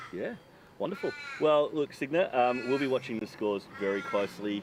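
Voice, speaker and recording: A man with an Australian accent, lively intonation and a fairly quick pace, over noticeable background noise. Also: medium pitch for a man. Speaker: field interviewer for disc golf coverage. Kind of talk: on-course interview.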